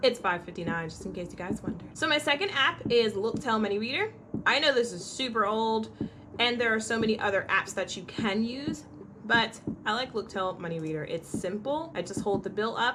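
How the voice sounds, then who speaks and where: A woman talks at a fairly quick pace in an animated tone, her pitch fairly high and her intonation lively. Noticeable background noise is present. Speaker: blind lifestyle vlogger, mother. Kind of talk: casual tutorial vlog. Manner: animated, chatty.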